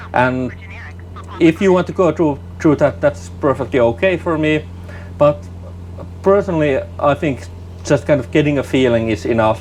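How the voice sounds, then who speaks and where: Over noticeable background noise, a man speaks at a moderate pace with long, frequent pauses, his medium pitch swinging very widely. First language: not English. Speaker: flight sim gaming youtuber. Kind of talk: gameplay commentary. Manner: halting, repeats words.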